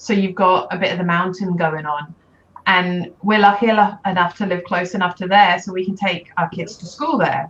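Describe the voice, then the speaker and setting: At a moderate pace, a woman with a British accent talks at a medium pitch with ordinary pitch variation. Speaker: life coach for mothers. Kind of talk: interview. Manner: loud.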